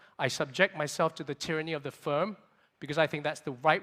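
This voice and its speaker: Loud and energetic, a man speaks in a bright, sharp tone at a fairly high pitch. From Singapore. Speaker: venture capitalist. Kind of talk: conference keynote talk.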